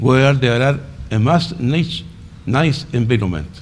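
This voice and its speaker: The intonation is lively, and audible room echo fills the recording. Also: man. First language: Spanish. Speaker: conference speaker, entomology researcher. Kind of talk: conference presentation. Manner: halting.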